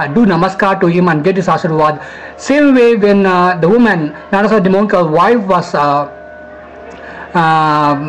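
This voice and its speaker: Moderate pace with long, frequent pauses over music in the background. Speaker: devotional storyteller. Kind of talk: religious story narration to camera. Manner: hesitant, stammering.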